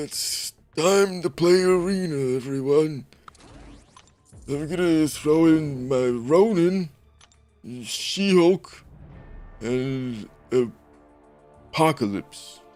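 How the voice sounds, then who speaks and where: Using a put-on character voice, a man sounds strained as he speaks at a very slow pace and fairly high pitch with long, frequent pauses over music in the background. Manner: poor, strained impression.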